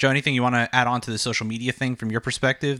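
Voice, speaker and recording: Very fast speech from a man at medium pitch, bright and sharp in tone, on a very clean recording with a silent background. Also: dry, close sound with no echo. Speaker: podcast host. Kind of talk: casual chat.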